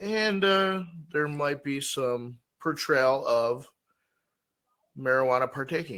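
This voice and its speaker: A man with a fairly high voice speaks very slowly, leaving long, frequent pauses. His tone is bright and sharp, and his intonation is lively. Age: 40s. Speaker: podcast co-host. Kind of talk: casual chat.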